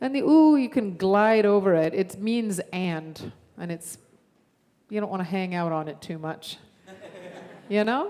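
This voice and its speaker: This woman speaks at a fairly slow pace with long, frequent pauses. Her pitch sits in the middle range. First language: Arabic. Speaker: guest musician. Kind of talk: teaching a song to a congregation. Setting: church service.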